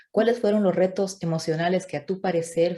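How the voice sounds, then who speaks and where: A woman talks at a fairly quick pace, somewhat breathy. Her tone is dark and mellow. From Bolivia. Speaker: YouTuber interviewer. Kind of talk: interview conversation.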